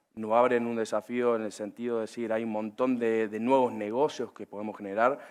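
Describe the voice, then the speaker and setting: A man with a Córdoba accent speaks at medium pitch. His pace is moderate, against a quiet background. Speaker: agribusiness panelist. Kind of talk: panel discussion. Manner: many filler hesitations.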